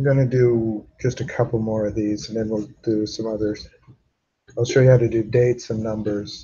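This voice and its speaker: Somewhat breathy, a man speaks at a moderate pace in a medium, flat, monotone voice. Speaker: database instructor. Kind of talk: lecture.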